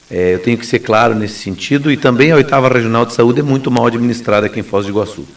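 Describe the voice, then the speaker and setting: A man talks at a very fast pace in a medium pitch with lively intonation, over noticeable background noise. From southern Brazil, Paraná southwest. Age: 40s. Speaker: lawyer and gubernatorial candidate. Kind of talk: radio interview.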